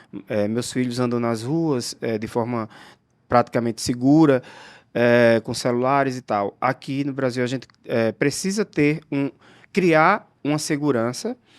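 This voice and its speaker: A man with an unremarkable speaking voice talks at a fairly slow pace, medium in pitch with ordinary pitch variation. The recording is very clean with a silent background and a dry, close sound with no echo. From João Pessoa, northeastern Brazil. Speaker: architect. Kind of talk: casual chat.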